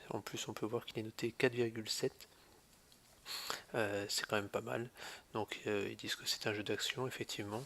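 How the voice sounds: Pitched fairly low, this man's voice has a fairly bright tone and ordinary pitch variation.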